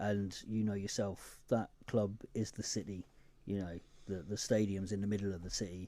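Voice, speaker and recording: In a southern English accent, a man with a dark, mellow tone speaks at a fairly low pitch and a moderate pace, his intonation monotone and flat. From Newcastle, north-east England. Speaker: podcaster and charity founder. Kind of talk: radio interview.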